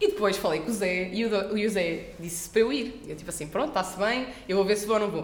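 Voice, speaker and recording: A woman speaking with hardly any pauses, ordinary pitch variation, and noticeable background noise. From Portugal, Coimbra. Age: 20s. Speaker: master's student. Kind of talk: casual chat.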